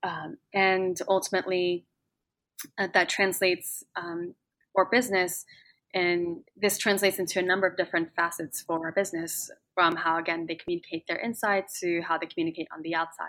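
In a French accent, a woman speaks at a moderate pace with a fairly low pitch, a bright, sharp tone and monotone, flat intonation. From France (Paris). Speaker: tech founder and CEO. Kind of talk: interview.

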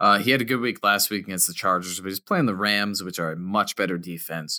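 On a very clean recording with a silent background and a dry, close sound with no echo, a man speaks at a fairly quick pace in a fairly low pitch, his tone bright and sharp, with ordinary pitch variation. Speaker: fantasy football podcast co-host. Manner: jokey, self-deprecating.

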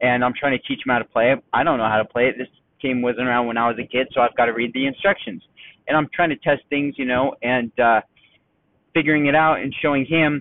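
Speaking at a very fast pace, a man keeps his medium pitch on fairly even intonation. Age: 30s. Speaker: podcast host. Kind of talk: casual monologue. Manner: rambling, halting with fillers.

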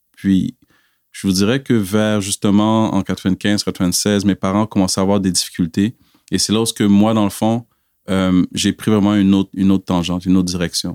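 At a moderate pace, a man speaks in a fairly low, monotone, flat voice with very even loudness, on a very clean recording with a silent background and a dry, close sound with no echo. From Quebec, via Cameroon. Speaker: church member giving testimony. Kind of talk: testimony.

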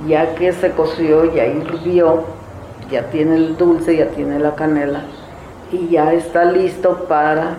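Against noticeable background noise and audible room echo, the speaker talks very slowly in a monotone, flat way. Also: woman, fairly low pitch for a woman. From Zimatlán de Álvarez, Oaxaca, Mexico. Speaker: traditional cook. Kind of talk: interview, explaining a recipe.

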